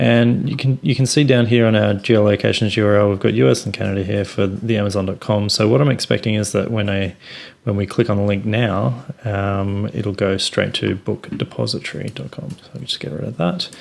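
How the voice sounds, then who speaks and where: A man with an Australian accent, fairly low in pitch, with lively intonation. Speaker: software company presenter. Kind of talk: tutorial.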